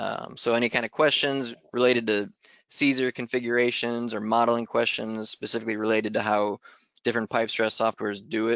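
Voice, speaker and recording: A man's medium-pitched voice holds a monotone, flat intonation throughout. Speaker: engineering webinar presenter. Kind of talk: technical webinar presentation. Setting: online webinar. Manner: fast; hesitant, many fillers.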